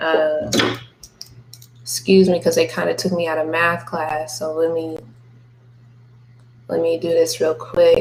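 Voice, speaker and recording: A woman speaks in a calm, relaxed tone at a fairly slow pace, with long, frequent pauses. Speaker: music marketing tutor and artist. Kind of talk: screen-share tutorial. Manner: calm, monotone; casual, relaxed.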